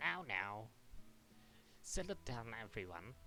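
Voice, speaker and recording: Against clear background noise, a man in a put-on character voice speaks at a fairly slow pace and a medium pitch. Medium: game stream. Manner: prim teacherly authority.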